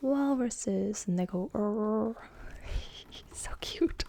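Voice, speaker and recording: Amid noticeable background noise, a woman speaks at a fairly high pitch with ordinary pitch variation. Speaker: ASMR creator. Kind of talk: children's picture book reading with commentary. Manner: soft, slow, sing-song.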